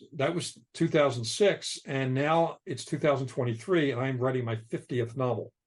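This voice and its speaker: A man with an American accent talks at a moderate pace and medium pitch, somewhat breathy, with ordinary pitch variation. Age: 60s. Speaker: novelist. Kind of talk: casual chat. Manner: halting.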